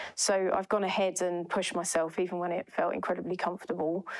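A woman with an Essex accent, fairly quick in pace and monotone, flat in intonation. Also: dry, close sound with no echo. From East London. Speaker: cloud transformation consultant. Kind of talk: podcast interview. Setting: in-person office recording.

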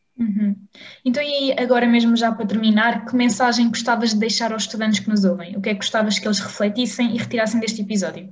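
A woman with a somewhat breathy voice talks at a very fast pace with fairly even intonation. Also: fairly high pitch for a woman. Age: 20s. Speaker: pharmacy student association director, podcast host. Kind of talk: interview.

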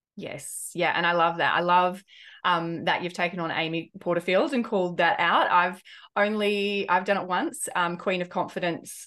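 A woman speaks in a normal speaking voice at medium pitch and a moderate pace, with ordinary pitch variation over a quiet background. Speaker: podcast host. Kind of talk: casual interview conversation.

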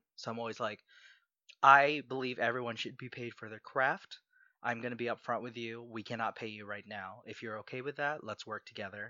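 At a fairly quick pace, a man with an American accent talks in a normal speaking voice at a medium pitch with fairly even intonation. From US, Southern Maryland. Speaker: podcast producer and actor. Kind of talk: casual interview.

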